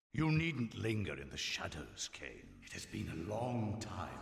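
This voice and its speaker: Putting on a character voice, a man talks at a moderate pace in a fairly low pitch with very wide pitch swings and a slight echo. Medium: video game. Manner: smug, condescending.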